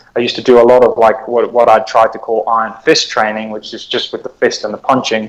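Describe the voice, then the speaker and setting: A man's medium-pitched voice at a very fast pace. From South Africa. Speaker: police officer and martial artist. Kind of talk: podcast interview answer. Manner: hesitant, many fillers.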